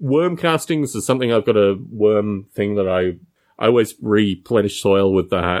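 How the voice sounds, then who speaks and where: Talking at a moderate pace, a man with an Australian accent has a fairly low pitch and ordinary pitch variation. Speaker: podcast co-host. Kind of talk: casual chat.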